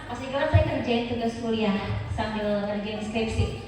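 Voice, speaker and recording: Noticeable background noise and audible room echo surround a woman speaking in an animated tone. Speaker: seminar speaker, former radio announcer. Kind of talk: seminar talk.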